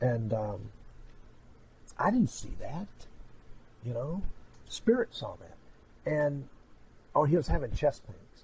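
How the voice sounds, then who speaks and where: Very slow and broken by long, frequent pauses, a man's fairly high, somewhat breathy voice makes very wide pitch swings and big swings in loudness. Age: 60s. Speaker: clairvoyant medium. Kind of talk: psychic reading and interview chat.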